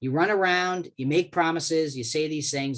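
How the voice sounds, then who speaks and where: A man with an American accent at a fairly quick pace, ordinary pitch variation, and a quiet background. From Boston, US. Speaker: government relations expert, lawyer. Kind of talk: webinar presentation. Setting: online webinar call. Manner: fast.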